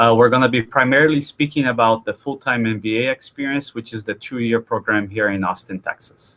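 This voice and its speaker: Speaking at a fairly quick pace with hardly any pauses, a man of medium pitch has a slight Brazilian accent, a bright, sharp tone, and fairly even intonation. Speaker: university admissions director. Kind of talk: webinar interview. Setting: online webinar.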